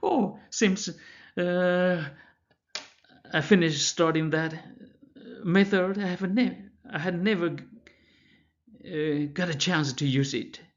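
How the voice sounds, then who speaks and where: A man speaks very slowly with a high pitch and ordinary pitch variation. Long, frequent pauses break up his speech, and room echo is audible. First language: Chinese. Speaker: math professor. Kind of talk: lecture. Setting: pre-recorded lecture. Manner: halting, with many fillers and restarts.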